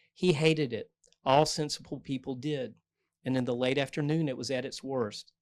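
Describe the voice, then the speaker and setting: This man talks at a moderate pace with a North Carolina accent and fairly even intonation. The recording is very clean, with a silent background. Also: medium pitch for a man. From North Carolina, US South. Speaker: novelist. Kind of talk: author talk with reading aloud. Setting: bookstore event with audience, microphone.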